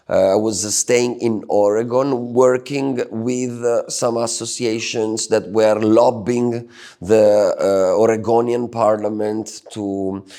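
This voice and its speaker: The delivery is very slow and monotone, with flat intonation. The tone is dark and mellow. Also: man, medium pitch for a man. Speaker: Bitcoin advocate and drug policy activist. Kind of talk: interview. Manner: halting.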